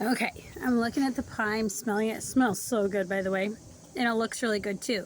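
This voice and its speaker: A woman's normal speaking voice, fairly high in pitch with ordinary pitch variation, at a fairly quick pace in a dry sound with no echo over light background noise. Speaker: cooking vlogger. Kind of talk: cooking tutorial. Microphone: phone near.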